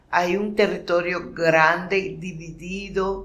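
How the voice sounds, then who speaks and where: The room echo is audible as a woman speaks. Her pace is very slow. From Nicaragua, Caribbean coast (Miskito, Río Coco). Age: 60s. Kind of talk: testimony. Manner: halting, with repetitions.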